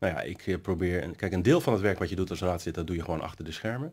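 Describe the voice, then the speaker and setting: Lively intonation marks a man's very deep, low voice. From Netherlands, Nieuwkoop; Netherlands. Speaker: city councillor. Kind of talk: interview. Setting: studio. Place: hall.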